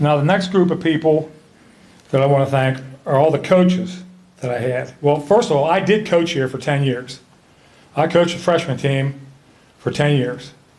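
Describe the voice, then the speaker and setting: Pausing long and often, a man with a fairly high pitch and ordinary pitch variation speaks at a moderate pace amid audible room echo. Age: 70s. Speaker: hall of fame inductee, former basketball player and referee. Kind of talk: acceptance speech. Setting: ceremony with audience.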